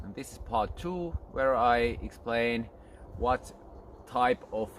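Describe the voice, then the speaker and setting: With a Finnish accent, a man speaks very slowly at a medium pitch. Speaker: archery instructor. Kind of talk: tutorial. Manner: halting.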